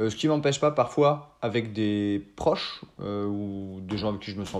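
A man at a fairly low pitch with ordinary pitch variation, set against a quiet background. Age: 30s. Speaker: improv actor. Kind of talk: interview conversation. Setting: remote call. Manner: hesitant, many fillers.

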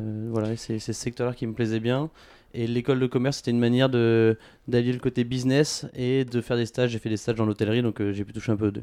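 Over a quiet background, a man talks very fast in a monotone, flat intonation, with a medium pitch and a dark, mellow tone. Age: 20s. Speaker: entrepreneur. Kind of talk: interview. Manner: hesitant, many fillers.

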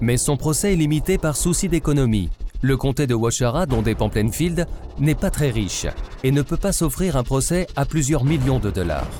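A man's fairly high, solemn voice with lively intonation, at a moderate pace over music in the background. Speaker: podcast narrator. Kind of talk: scripted true-crime narration. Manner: solemn, measured storyteller's delivery, dark and suspenseful.

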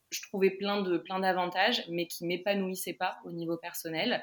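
Her pitch sits in the medium range for a woman. This woman's delivery is fairly slow, with flat, monotone intonation. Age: 20s. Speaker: online crystal shop owner. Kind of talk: interview. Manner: halting.

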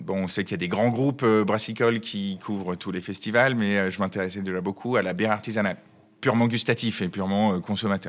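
Fairly low in pitch, a man talks at a fairly quick pace. He has an unremarkable speaking voice, on a very clean recording with a silent background. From Savoie, France. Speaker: brewery founder.

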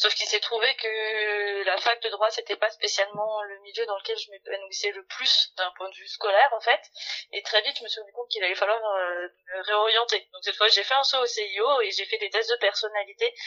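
In a plain, everyday voice, a woman with a fairly high pitch speaks at a moderate pace, her intonation fairly even and her loudness swinging widely. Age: 40s. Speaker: HR director. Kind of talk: interview.

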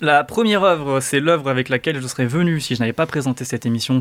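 Medium in pitch with ordinary pitch variation, a man's voice rushes by at a very fast pace. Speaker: podcast host. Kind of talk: casual chat. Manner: halting.

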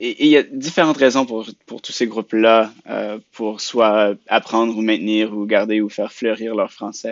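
An unremarkable speaking voice from a man at medium pitch. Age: 20s. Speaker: youth francophone council president. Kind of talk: interview.

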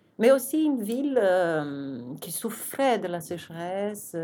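A woman with a Portuguese accent and a dark, mellow tone, at a very slow pace, on a very clean recording with a silent background. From Brazil. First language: Portuguese (speaking French). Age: 50s. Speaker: architect and urban planner. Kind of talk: interview.

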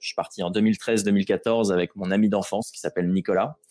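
This man talks at a fairly quick pace. His voice is fairly low in pitch. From Normandy, France (Rouen). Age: 20s. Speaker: adventurer and explorer. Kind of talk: interview. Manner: hesitant, frequent repetitions.

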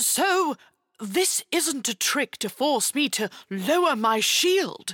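Put-on character voice at a slow pace with big pitch swings and a fairly bright tone, dry, close sound with no echo, very clean recording and silent background. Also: woman, high pitch for a woman.

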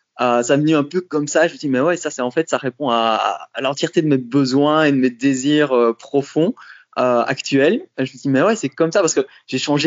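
His pitch sits fairly high for a man, with ordinary variation. He speaks at a moderate pace. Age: 40s. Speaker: coach and sexologist, former engineer. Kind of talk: interview, casual chat. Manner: hesitant, many fillers and repetitions.

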